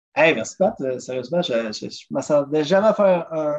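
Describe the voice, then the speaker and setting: A man speaks fairly slowly in a plain, everyday voice. His pitch is fairly high, with ordinary pitch variation. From Quebec, South Shore of Montreal. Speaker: drummer and travel agent. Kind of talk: casual interview.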